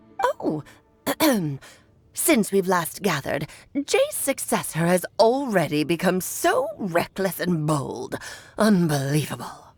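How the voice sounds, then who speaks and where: Using a put-on character voice at a medium pitch, a woman speaks fairly slowly with long, frequent pauses. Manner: scolding, imperious.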